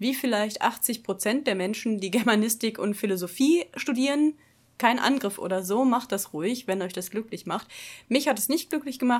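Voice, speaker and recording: Using a plain, everyday voice, a woman speaks at a fairly high pitch with lively intonation. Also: very clean recording, silent background. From Ruhr area, Germany (Dortmund). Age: 30s. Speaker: podcast co-host. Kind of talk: casual chat.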